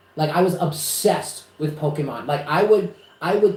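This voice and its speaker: The speaker is a man with a fairly high pitch and an American accent. Noticeable background noise is present. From New York, Westchester. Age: 30s. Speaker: psychic reader. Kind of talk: casual chat. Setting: live stream. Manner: animated.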